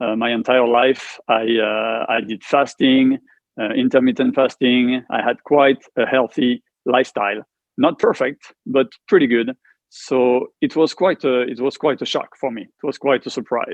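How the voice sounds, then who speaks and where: A medium-pitched man with a French accent, fairly even intonation, and a fairly slow pace. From France. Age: 50s. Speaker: cancer survivor, martial arts instructor. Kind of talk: interview testimony. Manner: halting.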